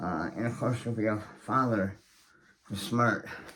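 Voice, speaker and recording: The man talks at medium pitch and a moderate speed, his pitch varying in an ordinary way, with noticeable background noise behind him. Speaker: author and channel host. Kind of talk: monologue to camera. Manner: hesitant, many fillers.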